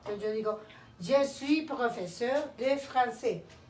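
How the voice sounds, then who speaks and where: Over noticeable background noise, a woman speaks at a high pitch with ordinary pitch variation. Audible room echo surrounds her voice. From Colombia, Cali. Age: 50s. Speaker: language teacher. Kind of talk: lesson. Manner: slow.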